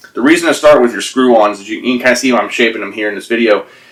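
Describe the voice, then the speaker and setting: This man, at a medium pitch with ordinary pitch variation, is heard over noticeable background noise. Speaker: climbing hold maker. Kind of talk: tutorial. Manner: halting; casual.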